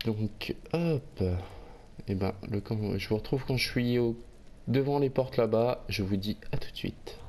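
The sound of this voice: A man talks at a medium pitch with a slightly mellow tone. His pace is fairly slow, with ordinary pitch variation.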